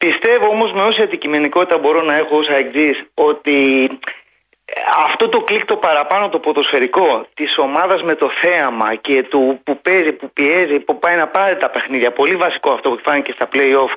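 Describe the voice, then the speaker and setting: A man with an unremarkable speaking voice talks at a moderate pace, with a fairly high pitch and ordinary pitch variation. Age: 50s. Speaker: sports radio caller, engineer. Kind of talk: phone-in football discussion. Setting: phone call.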